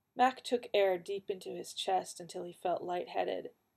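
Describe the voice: The clip consists of plain reading aloud.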